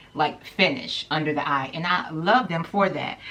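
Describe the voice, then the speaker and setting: A woman speaks at a moderate pace in a fairly low pitch with ordinary pitch variation. She has a normal speaking voice. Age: 30s. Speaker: beauty YouTuber. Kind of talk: product review vlog. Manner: casual, chatty.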